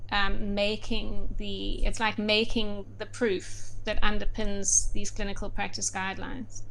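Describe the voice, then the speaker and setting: With audible room echo, the delivery runs at a fairly slow pace with hardly any pauses. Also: woman. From South Africa, Durban. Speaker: medical doctor and researcher. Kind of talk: interview. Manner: halting, many fillers.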